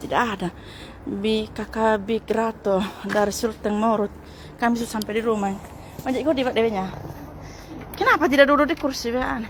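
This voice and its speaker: A woman's fairly high voice with ordinary pitch variation, a fairly quick pace broken by long, frequent pauses, and noticeable background noise. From Sabu island, East Nusa Tenggara, Indonesia. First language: Sabu (speaking Indonesian). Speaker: live streamer. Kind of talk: live stream chat with viewers.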